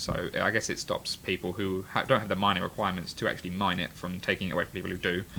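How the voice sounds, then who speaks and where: Over noticeable background noise, a man rattles along at a very fast pace. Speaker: game developer. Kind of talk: livestream game demo.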